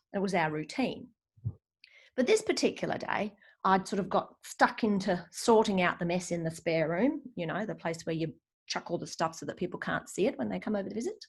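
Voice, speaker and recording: A woman with an Australian accent speaks at a fairly quick pace, her voice somewhat breathy. Her pitch sits in the medium range and her intonation is lively. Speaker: decluttering coach. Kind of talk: live webinar presentation. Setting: live online stream. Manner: fast.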